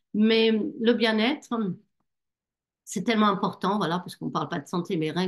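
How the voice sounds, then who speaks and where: Her pace moderate, a woman talks at a medium pitch. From Germany. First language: German (speaking French). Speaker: network marketing distributor. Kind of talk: online business presentation. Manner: hesitant, many fillers.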